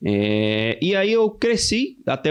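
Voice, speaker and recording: A man with a Pernambuco accent, very wide pitch swings, and noticeable background noise. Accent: Brazilian northeastern (Pernambuco). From Brazil, Pernambuco (interior, Ipubi). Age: 20s. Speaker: young church elder. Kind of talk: casual podcast interview, testimony.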